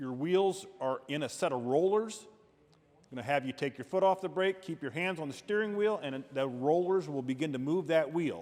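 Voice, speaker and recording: A man with an ordinary speaking voice and a fairly high pitch. He talks at a moderate pace with lively intonation. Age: 60s. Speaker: state police officer. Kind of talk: safety training talk. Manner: conversational.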